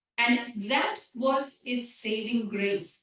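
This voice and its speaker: Very slowly, a woman speaks in a fairly high voice with lively intonation. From India. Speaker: seminary dean and scholar of religion. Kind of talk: lecture.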